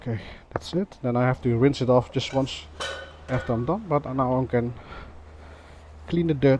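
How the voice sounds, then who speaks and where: Speaking with a Dutch accent over noticeable background noise, a man uses a medium pitch and lively intonation at a moderate pace, with long, frequent pauses. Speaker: motovlogger. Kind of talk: casual vlog talk. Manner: halting, many fillers.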